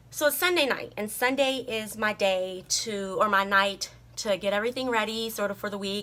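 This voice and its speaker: In a very clean recording with a silent background, a plain, everyday voice speaks at a moderate pace. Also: woman. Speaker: vlogger. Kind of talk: casual vlog monologue.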